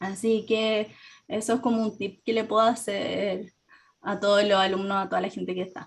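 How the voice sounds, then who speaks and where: A woman's medium-pitched voice holds a monotone, flat intonation at a moderate pace. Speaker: textile designer and workshop teacher. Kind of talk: webinar Q&A. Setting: online webinar.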